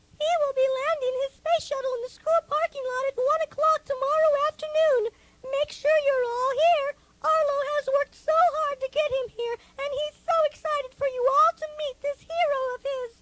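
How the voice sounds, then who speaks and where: A woman uses a put-on character voice, squeaky and extremely high in pitch. The sound is dry and close, with no echo. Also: moderate pace. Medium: audio drama. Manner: warm, sweetly formal.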